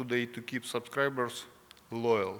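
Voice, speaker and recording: A man is speaking. He has a Russian accent. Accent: non-native English, Russian. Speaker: company president. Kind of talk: conference presentation. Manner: halting, many fillers.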